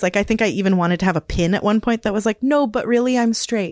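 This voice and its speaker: With a western Canadian accent, a woman speaks with ordinary pitch variation, the sound dry and close with no echo over a quiet background. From northern British Columbia, Canada (Kispiox Valley, Hazelton). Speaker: community radio worker. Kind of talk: casual interview.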